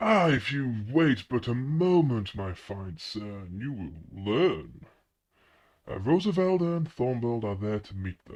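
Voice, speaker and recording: A man's put-on character voice at a medium pitch, fairly slow in pace, over a quiet background. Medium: actual play. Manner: courtly, grandiloquent, smoothly manipulative.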